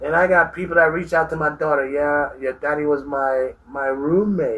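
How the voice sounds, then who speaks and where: There is noticeable background noise as a man talks at a moderate pace. His pitch is fairly high and his intonation fairly even. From Jamaica. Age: 60s. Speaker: army veteran. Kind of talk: interview answer.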